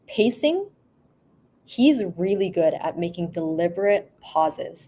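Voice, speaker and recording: A woman with a Canadian accent and a dark, mellow tone speaks at a medium pitch and a fairly slow pace with lively intonation. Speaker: speech therapist. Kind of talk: casual interview.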